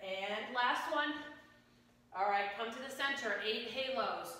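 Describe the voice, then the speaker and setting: At a fairly slow pace, a woman speaks in an upbeat tone with a fairly high pitch and ordinary pitch variation, strong room echo around her. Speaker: fitness instructor. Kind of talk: guided exercise class, leading a workout with live cues. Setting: home workout video. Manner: brisk, upbeat and encouraging, firing off short commands and rep countdowns; energetic, coaching in a friendly conversational tone. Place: gym.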